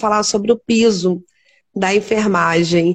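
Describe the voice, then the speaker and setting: A woman's plain, everyday voice, fairly slow, with fairly even intonation. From Teresópolis, Rio de Janeiro state, Brazil. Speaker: nurse and live stream host. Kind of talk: interview on a live stream.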